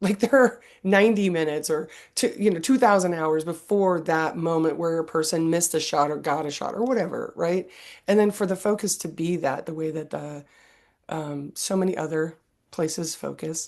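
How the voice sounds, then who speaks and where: This is a plain, everyday voice at a moderate pace with ordinary pitch variation. The background is quiet. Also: woman, fairly low pitch for a woman. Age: 50s. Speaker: podcast host. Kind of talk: interview.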